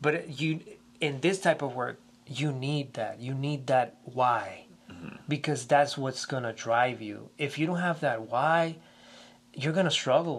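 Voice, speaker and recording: At a fairly slow pace, a man talks in a fairly high pitch with ordinary pitch variation. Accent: Spanish. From Puerto Rico. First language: Spanish. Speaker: theater movement teacher. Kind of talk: interview.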